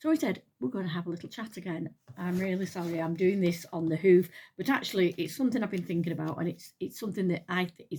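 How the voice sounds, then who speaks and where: A woman with an English accent speaks at a very fast pace, her medium-pitched voice dark, mellow and somewhat breathy. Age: 60s. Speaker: retired nurse, lifestyle vlogger. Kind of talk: casual chat. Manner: halting.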